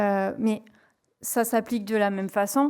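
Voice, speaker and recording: The speaker has a southwestern French accent. The intonation stays fairly even. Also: woman, very clean recording, silent background. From southwest France. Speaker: renewable energy company environmental manager. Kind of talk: conference presentation. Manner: hesitant, many fillers.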